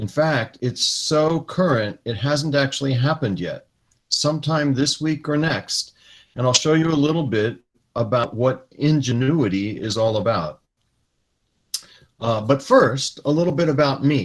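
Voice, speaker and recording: A man with an American accent speaks at a fairly slow pace in an unremarkable speaking voice. His pitch is fairly high, with ordinary variation. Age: 60s. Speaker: retired space engineer giving a talk to students. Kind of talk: lecture. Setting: video call.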